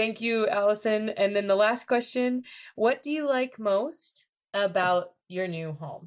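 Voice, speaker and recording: A woman with a plain, everyday voice and an American accent, medium pitch, fairly slow pace and lively intonation, over a quiet background. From United States. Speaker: English teacher and podcast host. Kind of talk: casual interview. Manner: clear, upbeat.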